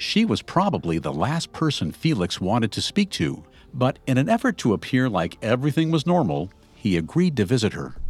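Serious man's voice with very wide pitch swings over music in the background. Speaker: podcast host. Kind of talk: true-crime narration. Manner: dramatic, measured storytelling delivery; serious, suspenseful, steady pacing.

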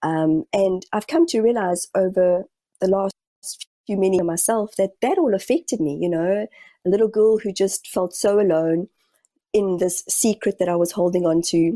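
In a New Zealand accent, a woman speaks at a medium pitch and a moderate pace, her tone dark, mellow and calm, with ordinary pitch variation and a dry, close sound with no echo. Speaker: spiritual medium. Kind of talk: interview. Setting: video call.

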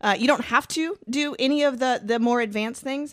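The recording is very clean, set against a silent background. Here a woman talks with an American accent. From Georgia, US South. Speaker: mountain bike instructor. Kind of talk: casual chat.

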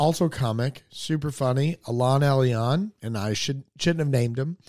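In a normal speaking voice, a man talks with fairly high pitch, ordinary pitch variation and hardly any pauses over a very clean recording with a silent background. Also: dry, close sound with no echo. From North Carolina (Hickory). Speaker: stand-up comedian. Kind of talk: casual chat.

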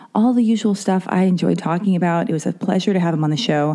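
The speaker moves at a fast pace with a dark, mellow tone and ordinary pitch variation. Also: woman, fairly low pitch for a woman.

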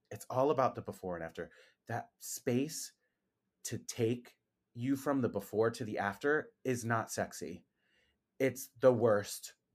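In a very clean recording with a silent background, a man at medium pitch speaks fairly slowly with ordinary pitch variation and long, frequent pauses. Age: 40s. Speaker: esthetician and skincare brand founder. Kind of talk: casual interview.

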